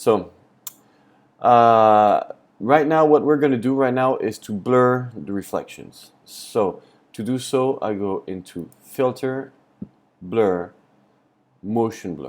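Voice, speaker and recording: A man with a French accent at a medium pitch, very slow, with long, frequent pauses, ordinary pitch variation and big swings in loudness. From France. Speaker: photography tutor. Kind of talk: tutorial. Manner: hesitant, many fillers.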